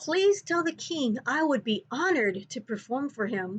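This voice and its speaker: A woman puts on a character voice, high-pitched and swinging very widely in pitch. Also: moderate pace. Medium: read story.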